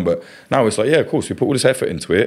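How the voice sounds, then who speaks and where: Speaking at a very fast pace, a man has an East Midlands accent. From England, East Midlands (Kettering, Northamptonshire). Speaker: journalist and documentary filmmaker. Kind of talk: casual interview chat.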